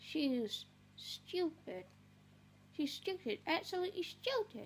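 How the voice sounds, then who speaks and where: The speaker uses a put-on character voice at a fairly slow pace. Clear background noise is present. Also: woman, extremely high pitch for a woman. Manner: rude, exasperated.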